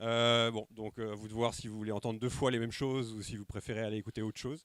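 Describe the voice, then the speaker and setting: A man's voice is heard in a dry, close sound with no echo. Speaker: sociologist giving a conference talk. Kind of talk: lecture. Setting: conference room with live audience, microphone. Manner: fast at times; hesitant, many filler sounds.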